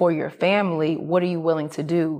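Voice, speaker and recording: A woman speaks in a fairly low pitch with an American accent, her intonation flat and monotone. The recording is very clean, with a silent background. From US South, Atlanta, Georgia. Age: 30s. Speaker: entrepreneur. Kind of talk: interview.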